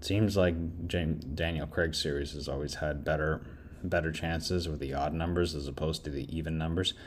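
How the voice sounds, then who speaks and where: A man speaks with a very deep, low pitch and vocal fry. His intonation is fairly even, and audible room echo surrounds him. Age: 30s. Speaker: podcast film reviewer. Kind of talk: solo film review monologue. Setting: home recording while doing laundry. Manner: casual, halting with self-corrections.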